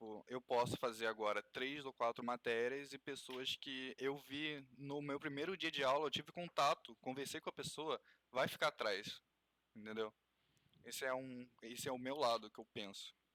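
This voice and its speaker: A man's medium-pitched voice, bright and sharp in tone, with ordinary pitch variation and a dry, close sound with no echo. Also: moderate pace. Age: 20s. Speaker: podcast co-host, university freshman. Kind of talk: casual discussion.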